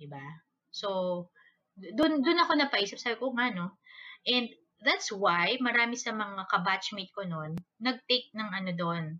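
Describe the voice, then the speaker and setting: A woman speaks fairly slowly in a fairly high, bright, sharp voice, with very wide pitch swings and big swings in loudness. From Philippines, Manila. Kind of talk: casual solo talk with book reading.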